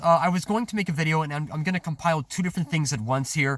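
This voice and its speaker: The speech moves at a very fast pace. Its intonation is lively. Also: man. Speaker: food delivery driver and vlogger. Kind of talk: rant vlog. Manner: halting, many fillers and restarts.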